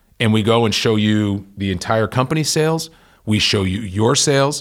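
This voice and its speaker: In a very clean recording with a silent background, a man with an American accent speaks at a fairly low pitch with ordinary pitch variation. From Massachusetts (Worcester). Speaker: company CEO. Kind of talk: interview.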